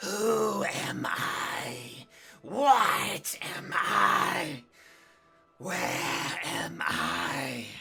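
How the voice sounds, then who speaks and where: A raspy, put-on character voice speaks at a very slow pace. Faint music plays in the background. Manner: weird, strange.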